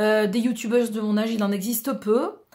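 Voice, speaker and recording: A woman talks at a fairly quick pace. Her fairly high voice is somewhat breathy. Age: 40s. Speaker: beauty and lifestyle vlogger. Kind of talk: casual vlog introduction. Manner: hesitant, many fillers.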